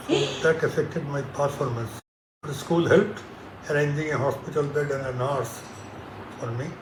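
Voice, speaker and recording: Speaking at a moderate pace with long, frequent pauses, a man with an Indian accent uses a fairly high pitch and fairly even intonation. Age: 70s. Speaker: retired engineer. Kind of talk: interview answer.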